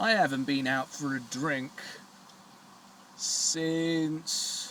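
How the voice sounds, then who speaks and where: Someone speaks with a British accent at a very slow pace. The pitch variation is ordinary. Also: man, fairly high pitch for a man. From Britain. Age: 20s. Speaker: vlogger. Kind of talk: personal vlog. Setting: smoking a cigar on camera. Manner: halting.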